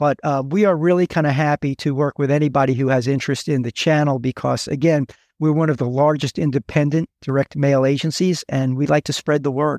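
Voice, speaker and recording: A man with an American accent speaks at a fairly quick pace in an unremarkable speaking voice, his pitch fairly high and his intonation fairly even. The loudness stays very even, with a dry, close sound, no echo and a quiet background. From New York. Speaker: direct mail agency executive. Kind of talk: interview.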